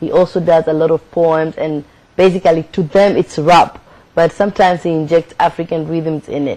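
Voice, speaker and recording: A woman speaks at a moderate pace with a Kenyan accent, her fairly low pitch held in a monotone, flat intonation. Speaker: spoken word poet and actress. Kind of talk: interview. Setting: studio.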